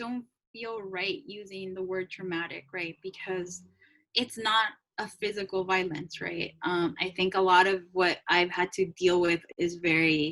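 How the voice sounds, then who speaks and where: In a Spanish accent, a woman speaks at a fairly slow pace. Her pitch is medium and her tone bright and sharp. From Salvadoran-American, raised in US. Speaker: podcast co-host. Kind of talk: casual chat. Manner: hesitant, many fillers.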